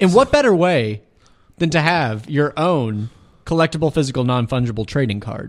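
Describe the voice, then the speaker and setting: Recorded very cleanly against a silent background, a man with an ordinary speaking voice talks at a moderate pace with a fairly high pitch and lively intonation. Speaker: community radio DJ. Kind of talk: comedic radio DJ patter. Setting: radio studio. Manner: giggly, stumbling over overlapping words; absurdist, playful ad-libbing.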